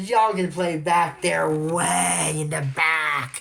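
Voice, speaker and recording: A man puts on a raspy character voice at a fairly high pitch and a very slow pace. Clear background noise can be heard. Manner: menacing, sinister.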